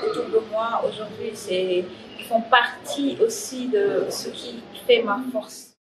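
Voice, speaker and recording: The speech moves at a very slow pace with ordinary pitch variation. Noticeable background noise sits behind it. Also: woman. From Senegal. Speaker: graffiti artist and spoken word artist. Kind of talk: interview answer. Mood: calm, reflective.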